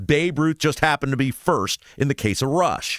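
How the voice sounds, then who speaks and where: A man with an American accent talks at a moderate pace and a medium pitch, with vocal fry. The recording is very clean with a silent background, and the sound is dry and close with no echo. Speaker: talk show host. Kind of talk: political talk radio monologue.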